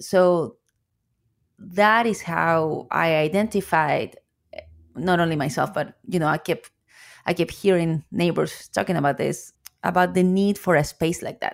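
In a very clean recording with a silent background, a woman speaks with a Chilean accent at a fairly low pitch. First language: Spanish. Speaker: coffee shop owner. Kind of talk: interview.

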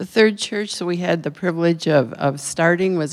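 In an American accent, a woman uses an unremarkable speaking voice at a fairly low pitch, with ordinary pitch variation and a moderate pace. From Minnesota. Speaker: retiring missionary. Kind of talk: missionary report. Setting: church.

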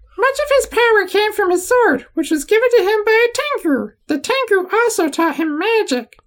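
The speaker uses a put-on character voice. The pace is moderate, with hardly any pauses. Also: man, extremely high pitch for a man. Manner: calm, reassuring, explanatory.

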